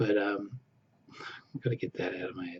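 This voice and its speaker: A man speaks with an Australian accent and lively intonation. His voice is somewhat breathy. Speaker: former Jehovah's Witness vlogger. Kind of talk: casual personal vlog. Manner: hesitant, with fillers and repetitions.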